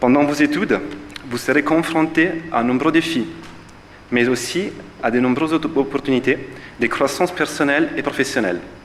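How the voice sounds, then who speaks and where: A man with a strong Italian accent and a fairly high pitch talks at a moderate pace with ordinary pitch variation and long, frequent pauses over noticeable background noise. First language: Italian (speaking French). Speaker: physiotherapist, alumnus. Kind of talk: ceremony speech. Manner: hesitant, many fillers.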